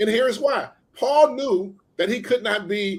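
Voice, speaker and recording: An American man speaks with an American accent and an animated tone. His pace is fairly slow. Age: 60s. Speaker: pastor. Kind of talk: casual interview conversation.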